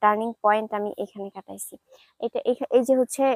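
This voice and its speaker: The woman's voice sits at a fairly high pitch. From Bangladesh, Jessore region. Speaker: vlogger. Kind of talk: casual vlog walkthrough. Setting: outdoors in village.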